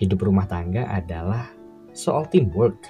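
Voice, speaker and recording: Music plays in the background. A man talks at a fairly low pitch with ordinary pitch variation. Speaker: radio broadcaster / voice-over worker, father and husband. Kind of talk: radio program talk, personal advice. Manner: conversational, reflective.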